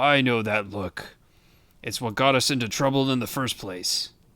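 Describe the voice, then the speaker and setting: A man's raspy, put-on character voice at medium pitch. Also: moderate pace, ordinary pitch variation. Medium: read story.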